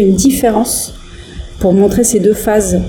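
Music in the background behind a woman's medium-pitched voice, varying in pitch in an ordinary way. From northern France, Lille area. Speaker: singer in electronic duo. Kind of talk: interview. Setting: remote internet call. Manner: hesitant, many fillers.

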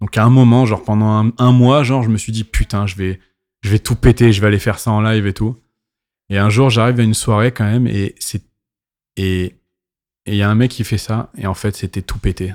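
On a very clean recording with a silent background, a man talks at a fairly quick pace and fairly low pitch, with fairly even intonation and long, frequent pauses. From Paris, France. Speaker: DJ. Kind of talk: casual chat. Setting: club venue.

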